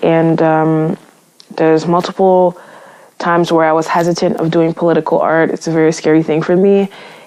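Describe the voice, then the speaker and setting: Her loudness stays very even as a woman talks at a fairly quick pace. Her pitch is fairly low and her intonation monotone and flat. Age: 20s. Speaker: visual artist. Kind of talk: recorded artist statement. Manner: halting.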